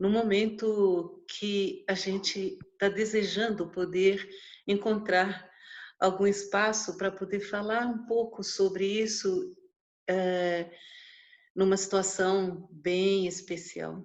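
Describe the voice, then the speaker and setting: The pace is very slow. Intonation stays monotone and flat throughout. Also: woman, medium pitch for a woman. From Paraná, Brazil. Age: 60s. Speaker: traditional midwife. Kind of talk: interview. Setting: video call.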